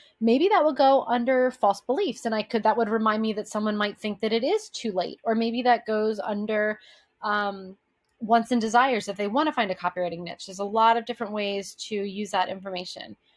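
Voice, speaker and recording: This very clean recording has a silent background. A woman talks with a fairly high pitch and ordinary pitch variation. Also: fairly quick pace. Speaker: brand strategist. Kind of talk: tutorial. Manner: fast.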